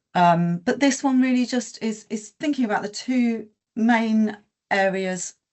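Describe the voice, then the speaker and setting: Her fairly high, somewhat breathy voice carries lively intonation. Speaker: health sector presenter. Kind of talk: webinar presentation. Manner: hesitant, many fillers.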